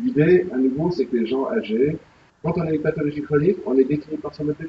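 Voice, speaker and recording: Somewhat breathy, a man speaks at a fairly quick pace. His pitch is fairly high with ordinary variation. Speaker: health tech company president, speaker. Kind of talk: presentation at a business breakfast. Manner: fast; animated.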